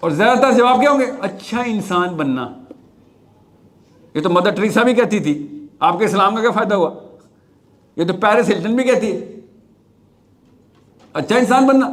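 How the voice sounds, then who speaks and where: A man with a high pitch and lively intonation. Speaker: motivational speaker. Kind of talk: live talk to audience.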